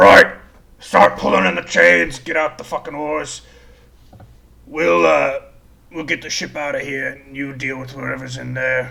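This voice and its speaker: Using a gruff, put-on character voice, a man talks with long, frequent pauses. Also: medium pitch for a man, moderate pace. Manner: commanding, barking orders.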